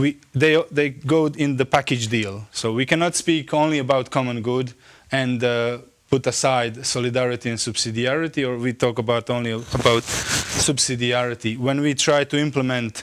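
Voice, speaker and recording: Against a silent background in a very clean recording, a man speaks with a Croatian accent. His pitch is medium, his pace moderate and his intonation fairly even. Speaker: theologian. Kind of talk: lecture. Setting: conference. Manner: halting.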